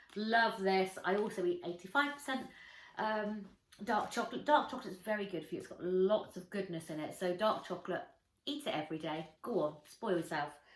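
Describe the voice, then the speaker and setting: With an English accent, a woman talks at a fairly quick pace, her intonation lively and her loudness swinging widely. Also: medium pitch for a woman. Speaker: lifestyle vlogger. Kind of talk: casual chat.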